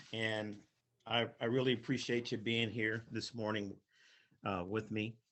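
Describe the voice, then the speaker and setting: Fairly slow speech from a man at a medium pitch with a Midwestern American accent. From US Midwest, Toledo, Ohio. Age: 60s. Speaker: golf professional, company founder. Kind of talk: webinar presentation. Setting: video call. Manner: halting, with frequent repetitions.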